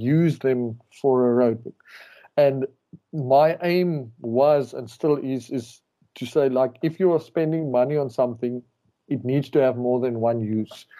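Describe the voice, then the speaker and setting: At a fairly slow pace, a man talks in a medium pitch with ordinary pitch variation and a dark, mellow tone. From South Africa. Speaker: rally racer. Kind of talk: casual interview.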